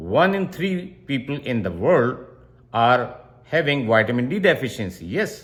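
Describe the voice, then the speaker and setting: In a Pakistani accent, a man talks at a fairly slow pace in a somewhat breathy, medium-pitched voice with very wide pitch swings. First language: Urdu. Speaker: doctor. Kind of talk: health explainer tutorial.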